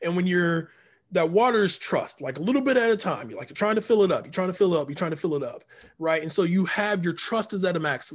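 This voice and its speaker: A man speaks at a very fast pace in a high pitch with ordinary pitch variation. The recording is very clean, with a silent background. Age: 40s. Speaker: poet and performance artist. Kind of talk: casual interview.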